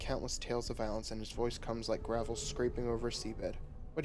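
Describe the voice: What the clip contains is plain reading aloud.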